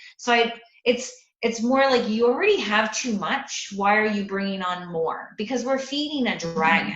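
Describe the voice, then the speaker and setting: Lively intonation from a woman with a fairly high pitch, plus audible room echo. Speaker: landlord advocate. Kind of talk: presentation to investor club. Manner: fast.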